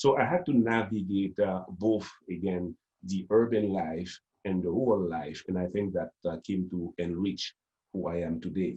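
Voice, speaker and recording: In a Haitian accent, the speaker talks at a moderate pace with a dark, mellow tone and ordinary pitch variation. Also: man, very deep, low pitch for a man. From Haiti, Port-au-Prince. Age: 50s. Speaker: storyteller. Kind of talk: interview conversation. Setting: video call.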